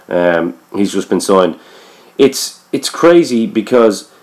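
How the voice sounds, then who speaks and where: The speaker has an Irish accent and a dark, mellow tone, talking at a fairly slow pace. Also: man. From Ireland. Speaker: podcast host. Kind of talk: casual interview.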